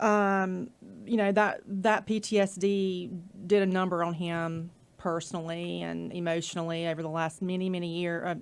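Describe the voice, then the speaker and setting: In a Southern US accent, the speaker keeps a fairly even intonation in a very clean recording with a silent background. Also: woman, fairly low pitch for a woman, moderate pace. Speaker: nonprofit project manager. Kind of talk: casual interview segment, telling a veteran's story. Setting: studio.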